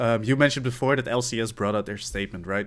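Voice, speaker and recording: A medium-pitched man with a Dutch accent and ordinary pitch variation. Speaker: esports caster and podcast co-host. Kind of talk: casual chat.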